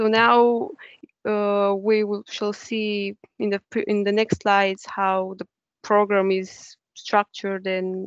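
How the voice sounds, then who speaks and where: A woman with a Romanian accent speaks at a very slow pace in a medium-pitched, monotone, flat voice, the sound dry and close with no echo. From Romania, Bucharest. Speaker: university student. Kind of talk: webinar talk. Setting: online webinar.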